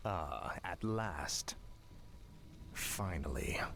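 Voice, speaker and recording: A man's put-on character voice, fairly low in pitch, over clear background noise. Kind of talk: video game unit responses. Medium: video game. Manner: cold, terse.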